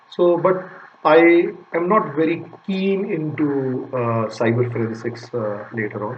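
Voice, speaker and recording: With noticeable background noise and audible room echo, a man speaks with ordinary pitch variation. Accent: Punjabi. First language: Punjabi. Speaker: data recovery business owner. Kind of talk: channel intro talk to camera. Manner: hesitant, many fillers.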